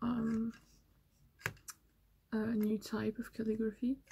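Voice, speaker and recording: A woman's voice has a dark, mellow tone. It sounds somewhat breathy. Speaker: ASMR creator and calligraphy hobbyist. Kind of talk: ASMR ramble, soft talking to camera. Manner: soft-spoken, hesitant, with filler pauses.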